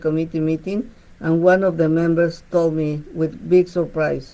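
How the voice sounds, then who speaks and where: The speaker is a woman. Her words carry a Spanish accent. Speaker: bilingual radio show host. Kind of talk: radio talk show. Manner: halting, repeats words.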